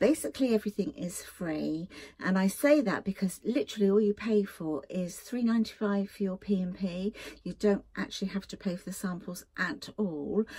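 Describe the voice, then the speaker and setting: A dark, mellow tone, somewhat breathy. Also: woman, ordinary pitch variation, moderate pace. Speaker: beauty vlogger. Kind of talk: casual vlog chat. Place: home room. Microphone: phone near.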